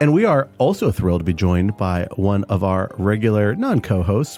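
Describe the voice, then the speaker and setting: Over music in the background, a man speaks with very wide swings in pitch. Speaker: podcast co-host. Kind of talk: casual chat. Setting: studio. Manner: animated.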